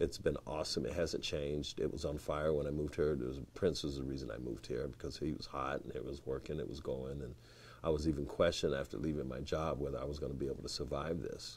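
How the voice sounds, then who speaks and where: A man's very deep, low voice with vocal fry, monotone and flat, at a very fast pace with hardly any pauses. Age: 60s. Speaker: saxophonist. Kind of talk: casual interview chat.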